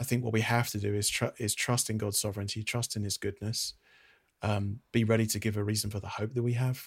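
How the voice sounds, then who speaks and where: In a British accent, a man speaks at a moderate pace. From Britain. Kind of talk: casual interview conversation. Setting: video call.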